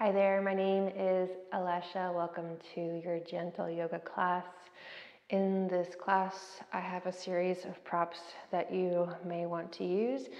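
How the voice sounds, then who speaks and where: Against a quiet background with audible room echo, the speech goes at a fairly slow pace in a monotone, flat intonation. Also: woman. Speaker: yoga instructor. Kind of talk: class instruction. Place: empty room. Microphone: camera far.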